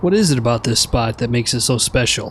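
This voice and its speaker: A man uses a put-on character voice at a medium pitch. He talks at a very fast pace over clear background noise. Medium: video game. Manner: calm, gentle.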